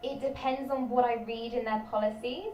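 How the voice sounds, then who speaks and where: With a British accent, a high-pitched woman talks at a moderate pace, with audible room echo around her. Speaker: trainee teacher and video creator. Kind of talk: live stream Q&A chat. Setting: live stream.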